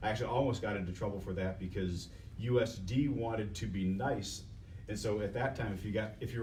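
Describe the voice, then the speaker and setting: With audible room echo, a man talks at a fairly quick pace and fairly low pitch, with ordinary pitch variation. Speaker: biomedical engineering professor. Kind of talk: panel discussion. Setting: workshop panel broadcast on Facebook Live. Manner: loud; halting, repeats words.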